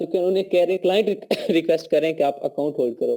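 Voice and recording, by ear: A man's high-pitched voice with a dark, mellow tone.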